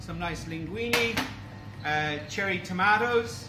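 Over noticeable background noise, a man speaks in a raised, projected voice with ordinary pitch variation. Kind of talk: cooking show presentation. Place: kitchen. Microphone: phone near.

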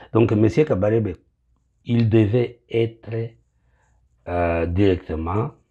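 Speaking with an eastern Congolese accent, a man has a dark, mellow tone, a somewhat breathy voice, lively intonation and a very slow pace. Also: quiet background. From eastern DR Congo. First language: Kinyamulenge (speaking French). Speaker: pastor. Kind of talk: political address to compatriots. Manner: halting, many hesitations. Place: bathroom. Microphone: phone near.

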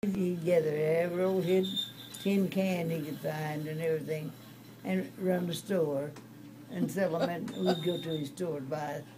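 A fairly low-pitched woman at a moderate pace, with fairly even intonation and noticeable background noise. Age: 80s+. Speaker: great-great grandmother. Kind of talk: conversational storytelling. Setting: hospital room. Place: home room. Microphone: phone near.

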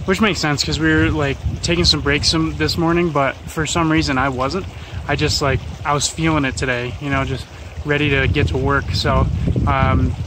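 Recorded dry with no echo, a man speaks at a moderate pace over noticeable background noise. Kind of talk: casual vlog chat. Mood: upbeat, pleased. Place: open country. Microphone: phone near.

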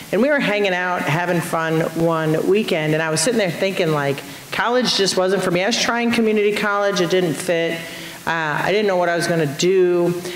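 A woman at a fairly quick pace and fairly low pitch, with ordinary pitch variation, audible room echo and light background noise. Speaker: state representative and Marine veteran. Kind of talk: panel discussion. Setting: stage with audience. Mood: lively, humorous storytelling. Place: stage. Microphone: handheld.

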